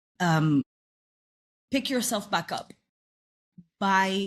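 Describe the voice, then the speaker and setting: A woman speaks at a very slow pace with lively intonation, a somewhat breathy quality, and a non-native accent. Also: very clean recording, silent background. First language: not English. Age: 30s. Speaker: actress and singer. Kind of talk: casual chat.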